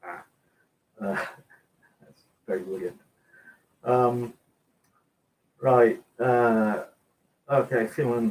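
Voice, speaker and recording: A man speaks with an English accent. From England. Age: 60s. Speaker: cooking video host. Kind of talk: live stream chat reading comments. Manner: halting, many fillers.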